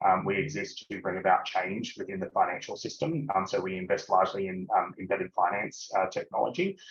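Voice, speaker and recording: Speaking with an Australian accent, a man moves at a fairly quick pace. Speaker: business executive. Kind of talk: webinar interview. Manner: halting, many filler words.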